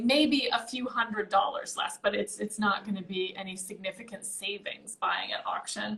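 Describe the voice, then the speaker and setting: With hardly any pauses, a normal speaking voice moves along at a moderate pace. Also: woman, fairly high pitch for a woman, ordinary pitch variation. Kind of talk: casual interview answer about auction results.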